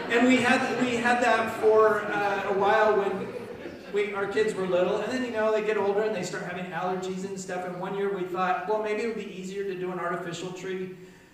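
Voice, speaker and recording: The man's voice is high and his intonation is monotone and flat, at a fairly quick pace. Strong room echo and light background noise are heard. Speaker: pastor leading children's talk. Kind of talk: children's sermon. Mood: warm, playful.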